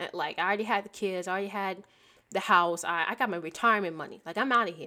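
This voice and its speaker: On a very clean recording with a silent background, a woman uses a normal speaking voice at medium pitch with fairly even intonation. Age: 20s. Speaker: podcast host. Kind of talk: solo faith podcast monologue. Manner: casual, conversational with fillers.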